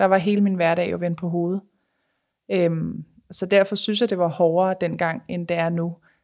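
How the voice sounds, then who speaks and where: A woman's medium-pitched voice stays monotone and flat on a very clean recording with a silent background. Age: 30s. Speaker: Instagram blogger. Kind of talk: personal testimony.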